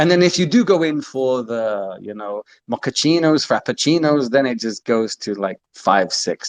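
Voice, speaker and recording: A man with an English accent speaks at a moderate pace with hardly any pauses, his pitch medium but swinging very widely. The sound is dry and close with no echo, over a quiet background. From England. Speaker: community member. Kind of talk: casual chat. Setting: online audio call.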